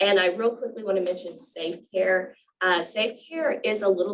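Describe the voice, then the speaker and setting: This woman has a plain, everyday voice, medium in pitch, and speaks at a moderate pace. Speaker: state program presenter. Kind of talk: presentation at a public board meeting. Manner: many fillers (um, uh).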